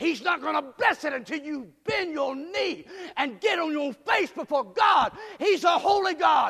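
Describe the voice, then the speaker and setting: A man shouts at an extremely high pitch, his tone animated and stern. He speaks at a fairly slow pace with lively intonation. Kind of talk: sermon. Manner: fervent and exultant, punchy repetition building to shouts.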